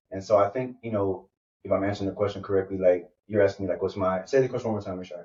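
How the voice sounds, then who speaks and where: Somewhat breathy and very fast, a man speaks with a fairly low pitch and fairly even intonation. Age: 30s. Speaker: podcast host, guest on another show. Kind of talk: casual conversation, interview. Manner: halting, many fillers.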